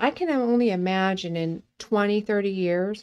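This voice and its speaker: At a medium pitch with ordinary pitch variation, this woman talks in a plain, everyday voice. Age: 50s. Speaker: podcast co-host. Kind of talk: casual chat.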